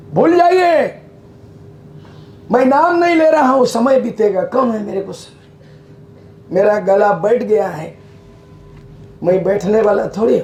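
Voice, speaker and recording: Music plays behind a loud man with a high pitch and very wide pitch swings. He talks at a very slow pace with long, frequent pauses. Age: 70s. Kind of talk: public speech.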